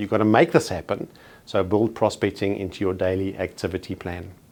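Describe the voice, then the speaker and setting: The speaker has a South African accent and talks at a fairly quick pace. The recording is very clean, with a silent background. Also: man. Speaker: real estate trainer. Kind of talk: training presentation. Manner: formal.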